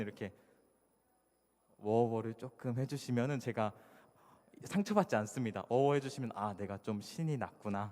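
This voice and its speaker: Dark and mellow, a man's medium-pitched voice carries ordinary pitch variation. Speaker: conference speaker, iOS developer. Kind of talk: conference talk. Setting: stage with audience. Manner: fast when excited.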